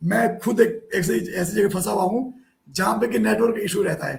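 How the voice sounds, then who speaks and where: Ordinary pitch variation from a man with a high pitch. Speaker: online show host. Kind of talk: live show hosting. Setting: live video call.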